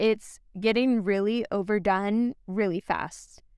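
The delivery is animated, in a Californian accent. The recording is very clean, with a silent background. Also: woman. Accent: Californian American. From San Francisco Bay Area. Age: 20s. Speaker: podcast host, college senior. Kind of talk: casual solo podcast monologue. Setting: at the beach. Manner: animated, laughs often.

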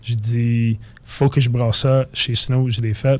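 A man speaks at a medium pitch in an English accent. His delivery is very slow, with monotone, flat intonation. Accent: English-speaker accent in French. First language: English (speaking French). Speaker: craft brewer. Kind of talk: casual radio interview.

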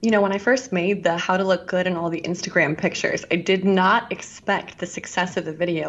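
Clearly audible noise fills the background. A woman's intonation stays fairly level. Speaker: YouTuber influencer. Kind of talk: casual interview chat.

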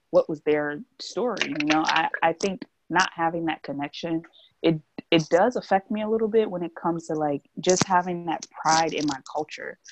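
A woman with an American accent at a moderate pace, fairly low in pitch with ordinary pitch variation, dry, close sound with no echo, and music in the background. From New Jersey. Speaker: podcast co-host. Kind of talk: casual chat.

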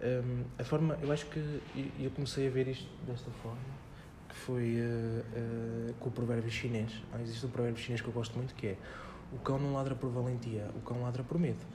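Medium-pitched man with fairly even intonation, audible room echo and noticeable background noise. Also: moderate pace. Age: 20s. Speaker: personal development author and former cook. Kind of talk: casual interview chat.

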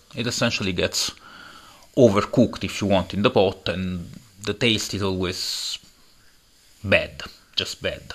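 A man speaks at a fairly slow pace. His pauses are long and frequent. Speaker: podcast host and coffee entrepreneur. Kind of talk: solo monologue. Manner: halting, many fillers; conversational, rambling.

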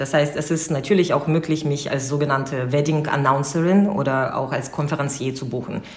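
Over noticeable background noise and audible room echo, a woman talks at a moderate pace with a very deep, low pitch. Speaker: wedding host and event company co-founder. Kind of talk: casual interview.

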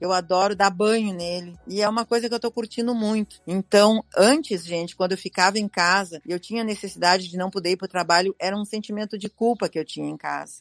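In a normal speaking voice, a woman at medium pitch talks at a fairly quick pace with hardly any pauses and fairly even intonation, the sound dry and close with no echo. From Rio Grande do Sul, Brazil (Campo Bom). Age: 60s. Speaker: retired shoe store owner. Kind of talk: life-story interview.

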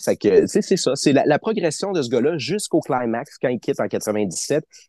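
Delivered at a moderate pace with very wide pitch swings, the dark, mellow voice sounds dry and close with no echo over a quiet background. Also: man. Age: 30s. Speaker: wrestling fan. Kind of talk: interview.

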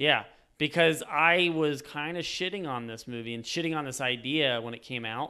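A man's normal speaking voice, fairly high in pitch, with ordinary pitch variation, big swings in loudness and a moderate pace. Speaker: podcast host. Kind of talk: casual chat.

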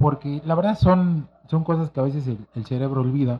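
A somewhat breathy male voice at a fairly high pitch. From Mexico City, Santa María de la Ribera. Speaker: music events expert. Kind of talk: casual chat.

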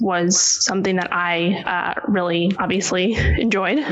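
With an American accent and a medium pitch, a woman speaks in a monotone, flat way over noticeable background noise. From New York City (Manhattan). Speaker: nutritionist and author. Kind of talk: casual interview.

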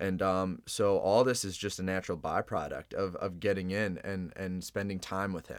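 In a very clean recording with a silent background, a man with an American accent and a very deep, low pitch speaks at a moderate pace with hardly any pauses. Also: fairly even intonation. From Chicago. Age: 20s. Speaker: podcast guest. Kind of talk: casual interview.

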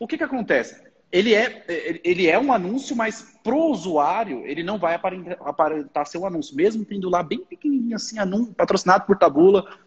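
A man with a high pitch speaks at a fairly quick pace with lively intonation. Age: 20s. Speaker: online marketer. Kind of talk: casual chat. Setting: livestream.

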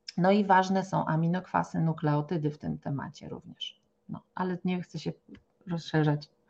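At a moderate pace, a woman with a fairly low, somewhat breathy voice speaks with big swings in loudness. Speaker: naturopath. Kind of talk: podcast interview. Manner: animated.

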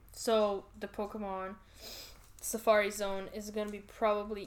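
A woman with a non-native accent talks at a fairly slow pace and a medium pitch. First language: not English. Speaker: podcast co-host. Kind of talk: casual chat. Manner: animated.

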